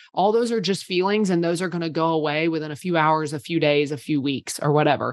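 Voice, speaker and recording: A woman with a fairly low pitch talks in a normal speaking voice against a quiet background. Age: 30s. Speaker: PR agency owner. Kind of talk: casual chat.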